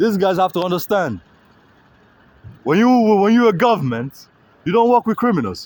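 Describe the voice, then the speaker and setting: At a moderate pace, a man speaks with long, frequent pauses. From Africa. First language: not English. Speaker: street livestreamer. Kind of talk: street livestream monologue. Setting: outdoors. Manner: halting.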